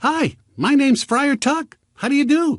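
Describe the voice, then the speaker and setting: Using a put-on character voice, a man speaks at a moderate pace in an extremely high pitch with a cheerful tone. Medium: read story. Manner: clear and cheerful.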